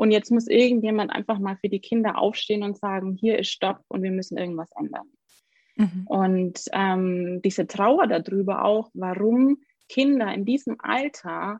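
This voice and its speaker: At a fairly slow pace, a woman speaks with a medium pitch and ordinary pitch variation. Her voice is somewhat breathy. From Germany, Augsburg (Bavaria). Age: 30s. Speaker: occupational therapist. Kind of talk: interview.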